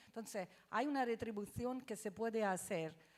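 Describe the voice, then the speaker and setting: With ordinary pitch variation, a woman speaks at a moderate speed. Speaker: water research consortium director. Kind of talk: panel discussion. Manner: halting, many fillers.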